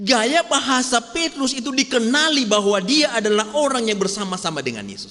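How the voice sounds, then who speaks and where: In a Medan accent, the voice is raised and projected, with lively intonation at a fairly quick pace. Noticeable background noise runs underneath. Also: man. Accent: Sumatran (Medan) accent, still present. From North Sumatra, Medan. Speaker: pastor. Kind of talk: sermon. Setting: church.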